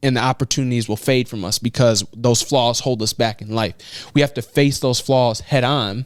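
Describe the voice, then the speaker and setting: The speaker is a man with a Chicago accent. He talks at a moderate pace. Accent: Chicago, American. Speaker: motivational speaker. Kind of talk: interview answer.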